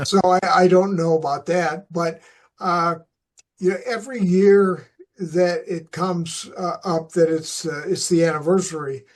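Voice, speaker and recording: A man's high-pitched voice with an American accent, fairly even intonation and a fairly slow pace. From US Midwest, Flint, Michigan. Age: 70s. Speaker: retired coach and teacher. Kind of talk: interview. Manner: halting, many fillers.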